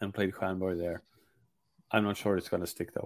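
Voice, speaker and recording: A man speaks with a Swedish accent on a very clean recording with a silent background. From Sweden, Gothenburg. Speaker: hockey journalist. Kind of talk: podcast interview. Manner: halting, many repetitions.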